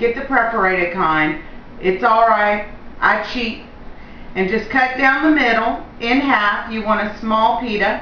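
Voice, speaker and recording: At a fairly slow pace, a woman with a fairly high pitch speaks with ordinary pitch variation, with audible room echo and light background noise. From Louisiana. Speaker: home cooking show host. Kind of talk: cooking tutorial. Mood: cheerful and friendly. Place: kitchen. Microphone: camera far.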